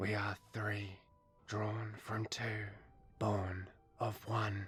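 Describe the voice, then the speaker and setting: Putting on a character voice, a man speaks very slowly in a fairly low pitch with monotone, flat intonation. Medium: read story.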